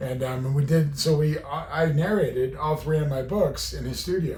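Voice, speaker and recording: Moderate pacing from a man with a fairly high pitch, plus audible room echo. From Southern Utah. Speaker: rancher and slaughterhouse owner. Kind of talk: casual chat. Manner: halting.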